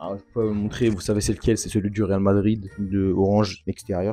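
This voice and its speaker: A man speaks with a fairly low pitch. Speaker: youtuber. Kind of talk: unboxing video. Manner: animated; fast.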